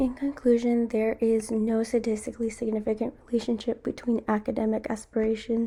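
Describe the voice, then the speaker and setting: The voice has a dark, mellow tone, somewhat breathy, at a fairly quick pace. Its intonation is monotone and flat, and its loudness is very even. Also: woman, fairly high pitch for a woman. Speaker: student. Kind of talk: class presentation.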